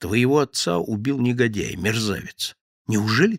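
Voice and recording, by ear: Reading aloud in a natural voice, someone shows ordinary pitch variation over a quiet background.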